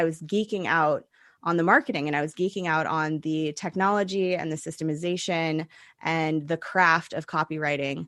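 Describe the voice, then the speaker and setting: A woman has a normal speaking voice with fairly even intonation. She speaks at a moderate pace over a quiet background. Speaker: business coach for holistic practitioners. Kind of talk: podcast interview.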